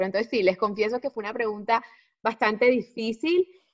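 With an unremarkable speaking voice, a woman talks at a fairly quick pace, keeping a medium pitch and ordinary pitch variation. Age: 30s. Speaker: natural family planning consultant and mom influencer. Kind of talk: casual chat.

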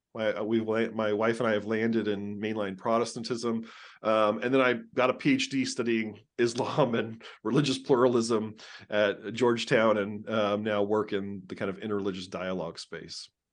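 A man with an American accent speaks in a normal speaking voice at a medium pitch, keeping a moderate pace and fairly even intonation. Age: 40s. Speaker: religion scholar. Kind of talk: interview.

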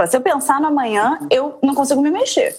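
This woman talks at a fairly quick pace with a high pitch. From Rio de Janeiro, Brazil. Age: 30s. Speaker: mother, podcast guest. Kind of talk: casual interview chat.

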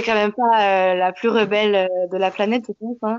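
The woman's pitch sits in the medium range. She keeps her intonation fairly even. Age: 20s. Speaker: teacher. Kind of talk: interview. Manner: halting.

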